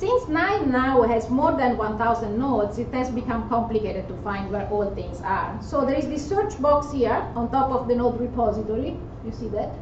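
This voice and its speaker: Hardly pausing at all, a woman talks in a high pitch through audible room echo and noticeable background noise. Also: ordinary pitch variation, moderate pace. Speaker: software presenter at tech meetup. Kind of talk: live software demo tutorial. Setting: meetup talk with live audience.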